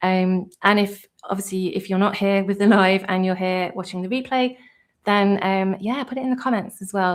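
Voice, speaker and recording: With a British accent, a woman speaks at a moderate pace and medium pitch, with fairly even intonation over a quiet background. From UK. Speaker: tutorial creator and virtual assistant; tutorial creator. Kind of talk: live stream tutorial chat. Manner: hesitant, many fillers. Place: home room.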